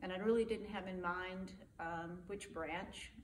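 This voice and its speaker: Fairly slow speech with fairly even intonation comes through audible room echo and noticeable background noise. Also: woman. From West Texas (Abilene). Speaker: army veteran. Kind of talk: oral history interview. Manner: conversational, with hesitations.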